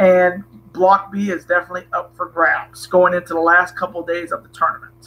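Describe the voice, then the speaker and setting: A man with a high pitch speaks at a fairly quick pace. His intonation is monotone and flat. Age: 20s. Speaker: wrestling streamer. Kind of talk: live stream chat. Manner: casual, hesitant.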